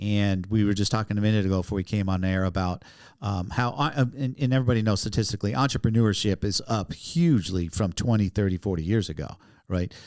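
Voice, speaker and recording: On a very clean recording with a silent background, a man talks very fast at a fairly low pitch with ordinary pitch variation. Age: 60s. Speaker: podcast host. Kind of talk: casual interview.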